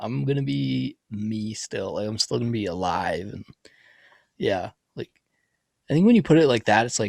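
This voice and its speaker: This is a normal speaking voice with lively intonation. The pace is moderate. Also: man, dry, close sound with no echo. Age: young. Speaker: art podcast co-host. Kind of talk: casual chat.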